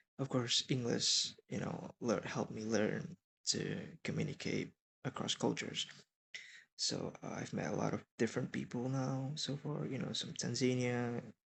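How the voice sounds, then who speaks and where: A man speaks at a moderate pace in an Indonesian accent, with ordinary pitch variation. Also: medium pitch for a man. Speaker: college student. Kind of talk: class presentation. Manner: halting.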